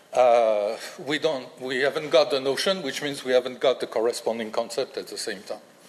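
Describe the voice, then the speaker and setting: A man with a French accent at a fairly quick pace, over noticeable background noise. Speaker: linguistics professor. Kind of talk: lecture. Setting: lecture hall with audience. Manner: halting, many fillers.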